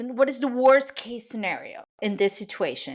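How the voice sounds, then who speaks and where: Speaking with a Spanish accent, this woman has a high pitch and lively intonation. Her pace is moderate. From Venezuela. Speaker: cake decorator and business coach, podcast host. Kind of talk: podcast monologue. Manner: conversational, with hesitations.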